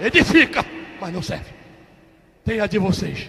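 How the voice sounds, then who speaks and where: In a raised, projected voice, a man speaks with an animated tone. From Rio de Janeiro, Baixada Fluminense. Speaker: pastor. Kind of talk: testimony.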